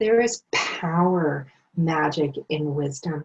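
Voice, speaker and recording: The speaker here is a woman. A somewhat breathy quality runs through her voice. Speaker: tarot card reader. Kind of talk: intuitive card reading. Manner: casual, hesitant with fillers.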